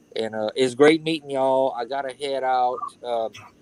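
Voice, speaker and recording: A man with a Louisiana accent, at medium pitch and a moderate pace. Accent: Louisiana Southern. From Louisiana (Cajun). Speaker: YouTuber joining a live stream. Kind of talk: casual chat.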